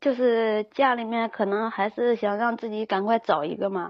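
Here is a woman with a normal speaking voice and a fairly high pitch. She keeps a moderate pace and fairly even intonation. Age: 20s. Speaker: caller seeking relationship advice. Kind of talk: call-in advice chat.

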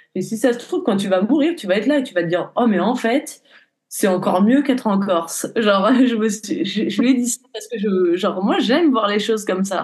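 A woman with a fairly high pitch talks at a fairly quick pace with lively intonation. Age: 20s. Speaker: horse riding instructor and equine therapist. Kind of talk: podcast interview, personal testimony. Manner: hesitant, many fillers.

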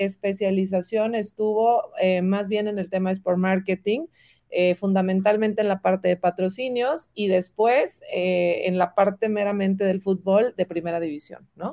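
Using a medium pitch and a dark, mellow tone, a woman talks at a fairly slow pace with hardly any pauses in a dry, close sound with no echo. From Mexico, Monterrey. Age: 40s. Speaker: marketing executive. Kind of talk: interview. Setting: video call.

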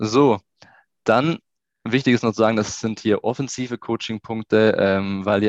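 A man speaks in an unremarkable speaking voice, fairly low-pitched, at a moderate pace with fairly even intonation, recorded dry and close with no echo against a quiet background. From Swabian Jura, southern Germany. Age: 20s. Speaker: youth football coach and sports researcher. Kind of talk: interview.

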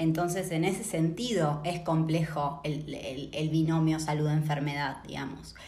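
In an Argentine accent, a woman speaks at a fairly slow pace with hardly any pauses. Her pitch is very deep and low, her intonation fairly even, and background noise is noticeable. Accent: Argentine Spanish (voseo). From Argentina, Patagonia (Neuquén). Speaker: sociologist. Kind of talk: interview.

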